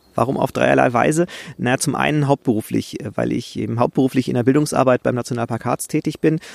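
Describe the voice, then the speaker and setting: Vocal fry runs through a man's very fast speech. His pitch varies in an ordinary way. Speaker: podcast host, nature photographer. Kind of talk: solo podcast monologue. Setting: outdoors in a forest.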